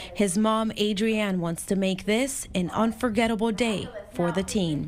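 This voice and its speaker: A plain, everyday voice at a fairly slow pace. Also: woman. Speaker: TV news reporter. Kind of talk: TV news feature narration.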